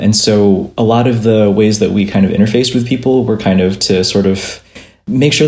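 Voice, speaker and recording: A man talks at a moderate pace. The room echo is audible. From Minnesota, US Midwest. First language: Vietnamese. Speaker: illustrator and graphic novelist. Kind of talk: casual interview.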